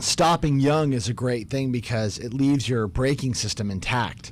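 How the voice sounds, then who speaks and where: A man talks at a moderate pace. Light background noise is present, and the sound is dry with no echo. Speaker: addiction medicine doctor; radio show guest or host. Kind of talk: interview. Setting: studio. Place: studio. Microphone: studio mic.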